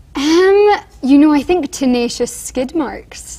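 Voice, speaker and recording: A high-pitched woman with an English accent, her voice swinging very widely in pitch, amid noticeable background noise. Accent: Scottish-born, puts on English. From Scotland. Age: 20s. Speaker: actress in a commercial, student. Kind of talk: TV interview.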